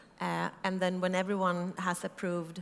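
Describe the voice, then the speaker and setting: A woman speaks at a medium pitch with a Swedish accent. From Sweden. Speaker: startup founder. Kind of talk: conference talk. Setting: stage with audience.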